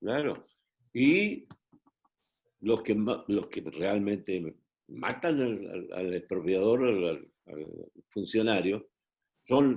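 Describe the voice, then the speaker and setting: Speaking very slowly with long, frequent pauses, a man uses a fairly low pitch and lively intonation. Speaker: actor. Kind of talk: interview answer.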